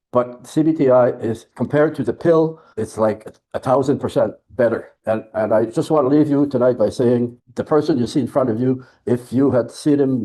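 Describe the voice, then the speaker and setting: Fairly even in intonation, a man speaks with a dark, mellow tone. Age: 80s+. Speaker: study participant sharing experience. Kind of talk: testimony. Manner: halting, repeats words.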